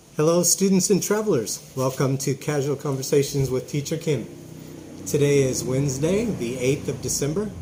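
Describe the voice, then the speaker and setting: Through noticeable background noise, a man with fairly high pitch talks at a moderate pace with ordinary pitch variation. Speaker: English teacher. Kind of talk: casual interview host talk.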